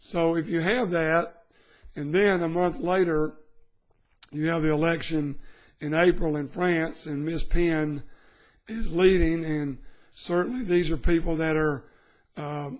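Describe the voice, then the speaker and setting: A man speaks at a fairly slow pace in a high pitch, with ordinary pitch variation. Long pauses come often. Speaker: precious metals advisor. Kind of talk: market update commentary.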